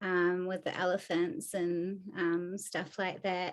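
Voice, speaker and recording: A woman's very slow, monotone, flat speech at a medium pitch, in a New Zealand accent. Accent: Kiwi. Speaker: animal rights activist. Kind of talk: podcast interview. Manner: many filler ums.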